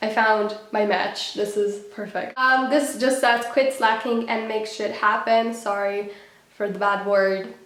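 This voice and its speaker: A woman's fairly high voice at a fairly slow pace, fairly even in intonation, with audible room echo and noticeable background noise. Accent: non-native. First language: not English. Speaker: student vlogger. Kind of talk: casual tutorial vlog.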